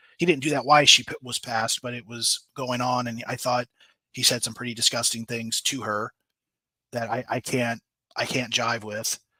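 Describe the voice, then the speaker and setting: With a bright, sharp tone and medium pitch, a man speaks at a moderate pace in a monotone, flat delivery, recorded with a dry, close sound and no echo. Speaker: true crime podcast host. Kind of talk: live stream chat reading viewer comments. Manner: stammering, hesitant; casual, filler-heavy.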